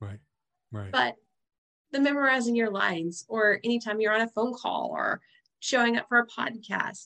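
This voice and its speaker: Enthusiastic and upbeat, a woman with an American accent speaks in a bright, sharp, fairly high voice with lively intonation. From Nashville, Tennessee, US. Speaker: podcast host. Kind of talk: casual interview. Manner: enthusiastic, upbeat.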